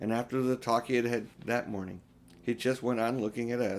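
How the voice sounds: Fairly even intonation carried by a natural reading voice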